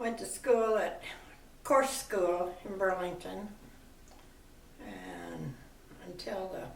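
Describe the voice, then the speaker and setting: A woman with an American accent at a very slow pace, with long and frequent pauses, big swings in loudness, audible room echo, and noticeable background noise. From US Midwest, Iowa. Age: 80s+. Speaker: grandmother interviewed about her life. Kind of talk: oral history interview.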